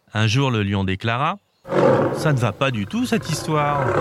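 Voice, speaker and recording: A man's warm, gentle tone at a moderate pace, with lively intonation and a dry, close sound with no echo. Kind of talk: bedtime story reading aloud for young children. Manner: animated, voicing each animal character with expressive changes; warm, gentle storytelling pace.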